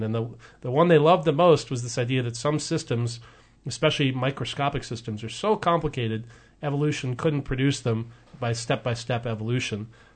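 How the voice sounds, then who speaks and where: A man talks at a very fast pace with an American accent. His voice is somewhat breathy. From US West Coast, Oregon. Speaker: evolutionary biologist. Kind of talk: radio interview. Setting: radio studio.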